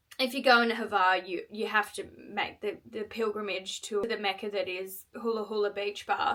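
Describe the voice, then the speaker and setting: Amid noticeable background noise, a woman speaks in a fairly high, monotone, flat voice with hardly any pauses. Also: moderate pace. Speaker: vlogger telling personal stories. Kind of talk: storytelling.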